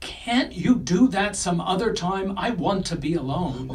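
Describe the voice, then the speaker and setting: The speaker uses a put-on character voice. Pitch sits in the middle range, and the pace is moderate. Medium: audio drama. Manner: stammering, indignant.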